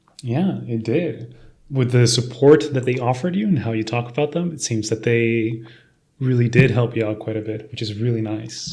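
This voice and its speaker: Somewhat breathy and dark, mellow in tone, a man's medium-pitched voice moves at a moderate pace. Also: ordinary pitch variation. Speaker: podcast host. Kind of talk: podcast host talk.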